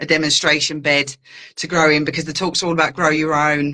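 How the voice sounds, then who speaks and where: A woman speaks at a fairly quick pace in a very deep, low pitch. Her tone is bright and sharp. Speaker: gardener giving grow-your-own talks. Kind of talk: casual interview chat. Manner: fast; animated.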